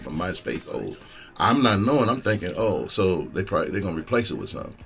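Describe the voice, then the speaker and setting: A man speaks at a very fast pace. Music plays in the background. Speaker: stand-up comedian. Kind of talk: casual podcast talk.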